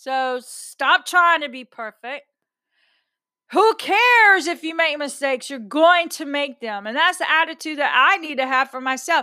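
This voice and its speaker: A raised, projected voice in an American accent, bright and sharp in tone, with lively intonation, a fairly slow pace and a very clean recording over a silent background. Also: woman, high pitch for a woman. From Texas. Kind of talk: casual monologue. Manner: outspoken, blunt.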